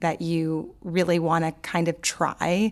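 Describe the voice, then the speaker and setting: A woman with an American accent speaks in a fairly low pitch on a very clean recording with a silent background. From New Orleans, US South. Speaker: poet and author, podcast cohost. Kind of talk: casual interview chat. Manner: conversational with many fillers.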